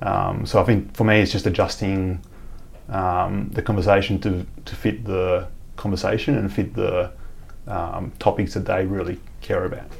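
A man's very deep, low, somewhat breathy voice at a moderate pace with fairly even intonation. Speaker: chief engineer at tech company. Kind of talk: casual interview chat.

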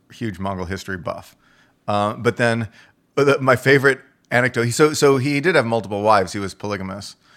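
A man with an American accent talks at a very fast pace with a medium pitch and ordinary pitch variation. The recording is very clean, with a silent background. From Texas. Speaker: economist and columnist. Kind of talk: casual interview.

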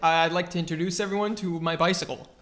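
Noticeable background noise surrounds the speaker. A man with a high pitch talks at a fairly quick pace. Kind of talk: casual comedic banter. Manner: rambling, filler-heavy, jokey.

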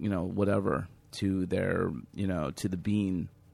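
A man with an unremarkable speaking voice and a fairly low pitch talks with fairly even intonation in a very clean recording with a silent background. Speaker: podcast host. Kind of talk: casual chat. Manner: rambling, filler-heavy.

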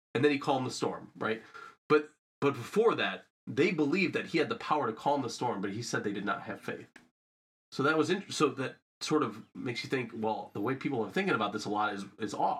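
With an ordinary speaking voice at medium pitch, a man talks at a fairly quick pace with lively intonation. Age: 30s. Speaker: emergency medicine resident physician and combat veteran. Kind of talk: casual interview conversation. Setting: in a home.

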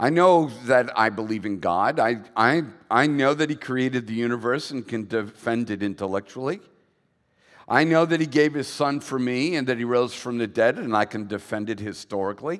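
A man with a plain, everyday voice speaks at a medium pitch and a moderate pace, with ordinary pitch variation. The recording is very clean, with a silent background. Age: 60s. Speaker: pastor. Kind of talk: sermon. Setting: church.

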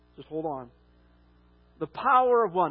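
A man's high-pitched voice swings very widely in pitch. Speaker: pastor. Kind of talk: sermon. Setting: church. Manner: loud.

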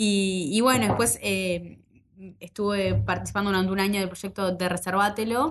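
Very even loudness, ordinary pitch variation and a moderate pace. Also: woman, medium pitch for a woman. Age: 20s. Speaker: tech nonprofit co-director and startup founder. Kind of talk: interview conversation.

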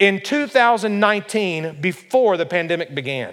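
A man speaks at a slow pace. His tone is fairly bright.

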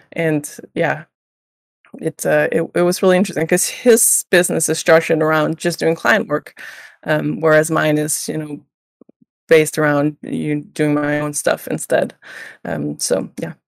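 Vocal fry runs through the voice. The pace is fairly slow, and pitch varies in an ordinary way. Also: woman. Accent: Danish. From Denmark, small village. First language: Danish. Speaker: illustrator. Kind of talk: interview.

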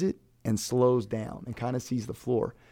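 A man's medium-pitched American accent, dark and mellow in tone, with vocal fry. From Maryland, Brunswick. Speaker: high school basketball coach. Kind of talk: interview.

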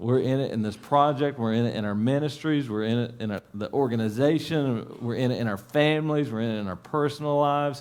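A man with an Appalachian accent talks at a fairly quick pace, barely pausing, his medium pitch showing ordinary variation. Room echo is audible. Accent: Appalachian Kentucky. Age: 40s. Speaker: pastor. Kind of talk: sermon. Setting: church.

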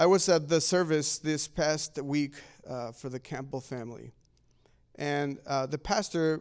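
On a very clean recording with a silent background, a man with a fairly high pitch talks at a moderate pace with fairly even intonation. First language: not English. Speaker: pastor. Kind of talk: sermon.

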